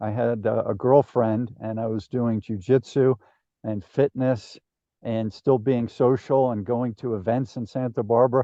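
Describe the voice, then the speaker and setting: A man with an American accent speaks in a normal speaking voice at a fairly slow pace, with medium pitch and fairly even intonation. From New Jersey. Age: 60s. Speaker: podcast host. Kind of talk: interview conversation.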